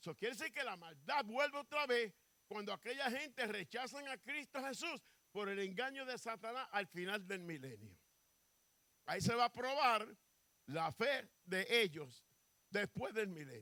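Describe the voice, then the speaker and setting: Raised and projected, a man's high-pitched voice carries a bright, sharp tone and lively intonation, recorded with a dry, close sound and no echo. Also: fairly slow pace. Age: 70s. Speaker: pastor. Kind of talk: sermon.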